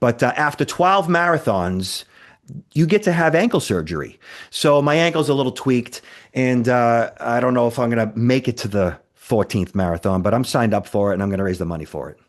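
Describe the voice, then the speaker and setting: Against a quiet background, a man with a Boston accent talks in an animated tone at a fairly quick pace, his pitch swinging very widely. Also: medium pitch for a man. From Boston, Massachusetts. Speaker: cybersecurity expert. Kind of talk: podcast interview.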